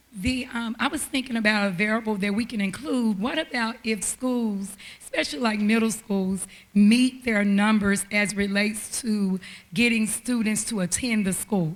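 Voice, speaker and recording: A woman speaks at a moderate pace in a fairly high, somewhat breathy voice with ordinary pitch variation. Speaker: audience member at public meeting. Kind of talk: public comment. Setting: town hall with audience.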